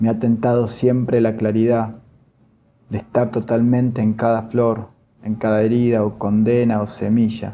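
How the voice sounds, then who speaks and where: A man's dark, mellow, solemn tone at medium pitch, monotone and flat in intonation, at a fairly slow pace. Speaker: poetry reader, workshop participant. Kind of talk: poetry reading aloud, measured literary delivery. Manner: slow, deliberate, solemn, pausing between poems.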